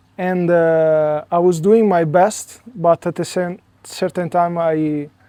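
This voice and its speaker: Very slow and monotone, a man talks with flat intonation in an Italian accent. His pitch is high, yet his tone is dark and mellow. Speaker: spiritual coach. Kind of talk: interview conversation. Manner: hesitant, many fillers.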